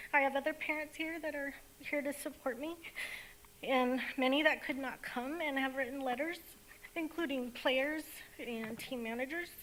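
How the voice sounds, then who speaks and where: Shaky speech at a moderate pace, with fairly even intonation, long, frequent pauses and noticeable background noise. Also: woman, high pitch for a woman. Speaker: parent, public commenter. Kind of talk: public comment speech. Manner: shaky voice.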